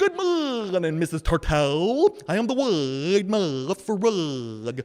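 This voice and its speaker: Using a put-on character voice at a middle pitch, the speaker goes at a fairly slow pace with very wide pitch swings. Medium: read story. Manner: polite, cheerful.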